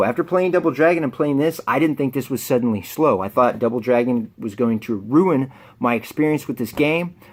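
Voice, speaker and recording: Very wide pitch swings from a man at a very fast pace. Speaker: video game collector YouTuber. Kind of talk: casual unboxing vlog.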